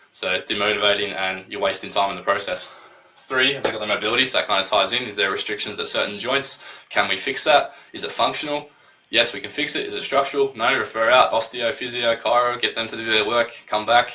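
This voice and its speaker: Very fast and animated, a man talks over noticeable background noise. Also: medium pitch for a man. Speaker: personal trainer. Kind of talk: tutorial. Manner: casual, animated.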